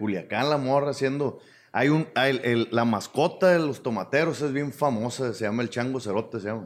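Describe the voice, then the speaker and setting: In a Sinaloan accent, a man talks at a moderate pace and a medium pitch with lively intonation. The recording is very clean, with a silent background. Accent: northern Mexican Sinaloan Spanish. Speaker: stand-up comedian. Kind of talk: casual chat.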